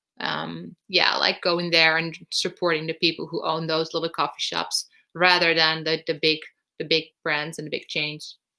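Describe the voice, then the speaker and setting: In a very clean recording with a silent background, a woman with a Dutch accent speaks in a fairly low, monotone voice with flat intonation, vocal fry and a bright, sharp tone. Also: moderate pace. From northern Netherlands. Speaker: vlogger. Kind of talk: live stream Q&A. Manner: hesitant with many fillers.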